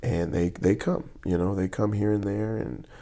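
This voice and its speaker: A man talks at a moderate pace with very deep, low pitch and vocal fry. His tone is dark and mellow, with ordinary pitch variation. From Texas, Dallas area. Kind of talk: interview, personal testimony. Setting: in person, before a church event. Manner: halting, many false starts.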